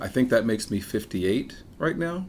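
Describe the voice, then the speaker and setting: This man has an ordinary speaking voice at a medium pitch. He talks at a moderate pace with lively intonation. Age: 50s. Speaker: podcast host and informatician. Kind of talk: casual chat. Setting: home bar.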